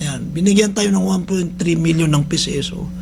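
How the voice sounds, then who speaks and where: Over noticeable background noise and audible room echo, a man speaks loudly at a fairly quick pace in a high voice. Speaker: radio host and rehab center head. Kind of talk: radio talk show monologue. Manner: loud, high-pitched; halting, many fillers.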